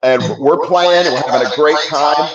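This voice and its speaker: Room echo can be heard. Within it, a man speaks at a moderate pace. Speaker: musician. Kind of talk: casual chat.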